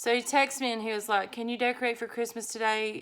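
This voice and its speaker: A woman with a Southern US accent at a fairly quick pace, on a very clean recording with a silent background. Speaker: journaling vlogger. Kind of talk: casual craft vlog chat. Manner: chatty, rambling with fillers.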